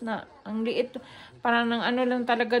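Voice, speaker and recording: A woman speaks in a monotone, flat intonation at a moderate pace. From Cebu, Philippines. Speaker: family vlogger. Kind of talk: casual talk to camera. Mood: reflective, a bit sad. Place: home room. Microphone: phone near.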